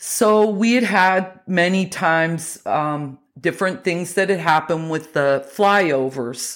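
With an American accent, a woman speaks at a very slow pace with hardly any pauses, her fairly low voice showing lively intonation and very even loudness on a very clean recording with a silent background. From West Virginia / Pennsylvania coal country. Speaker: beekeeper. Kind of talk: interview.

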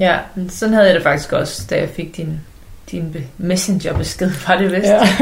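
Audible room echo follows a woman who talks at a medium pitch and a fairly slow pace. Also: fairly even intonation. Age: 40s. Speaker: love coach and podcaster. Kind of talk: casual chat.

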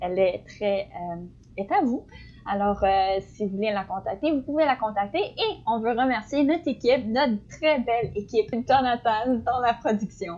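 A woman with a normal speaking voice, fairly high in pitch, lively intonation, and a fairly slow pace. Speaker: podcast co-host, student. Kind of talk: casual chat.

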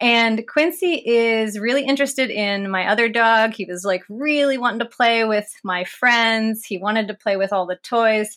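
On a very clean recording with a silent background, a woman with an American accent uses an ordinary speaking voice, fairly high pitch, lively intonation and a moderate pace. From West Virginia, US. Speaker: paleontologist and PhD candidate. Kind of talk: interview.

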